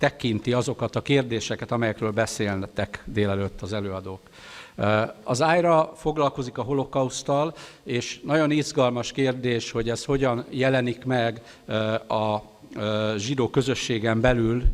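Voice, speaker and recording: A man speaks with a Hungarian accent at medium pitch. His pitch variation is ordinary and his pace moderate. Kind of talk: conference speech. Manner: halting in English.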